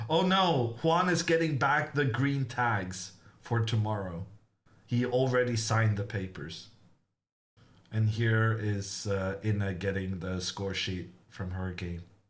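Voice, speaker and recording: A somewhat breathy man at a very slow pace with lively intonation and audible room echo. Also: fairly low pitch for a man. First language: not English. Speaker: chess grandmaster commentator. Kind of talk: live commentary. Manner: casual, chatty.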